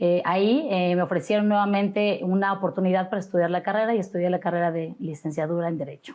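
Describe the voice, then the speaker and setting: Talking at a very fast pace with hardly any pauses, a woman keeps a medium pitch with ordinary variation. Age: 40s. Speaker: judicial candidate, lawyer. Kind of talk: interview.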